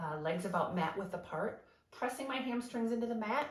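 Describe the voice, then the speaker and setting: A woman talks, and her voice carries audible room echo. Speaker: Pilates instructor. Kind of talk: exercise class instruction. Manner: encouraging, guiding.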